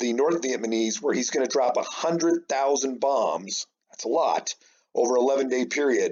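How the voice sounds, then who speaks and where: A man with an American accent speaks at a fairly slow pace. He has an unremarkable speaking voice with ordinary pitch variation. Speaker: high school history teacher. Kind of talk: recorded remote lesson. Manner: casual, many fillers.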